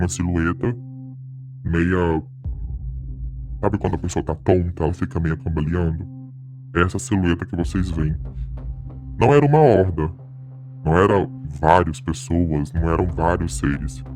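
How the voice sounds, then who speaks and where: A put-on character voice at a moderate pace with long, frequent pauses and clear music in the background. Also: man, very deep, low pitch for a man. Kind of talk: suspenseful horror narration. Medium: game stream. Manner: casual, talks straight to the audience.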